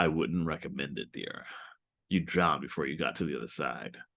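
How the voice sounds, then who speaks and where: In a put-on character voice, a man growls at a moderate pace, his pitch very deep and low, with a quiet background. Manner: chuckling, amused.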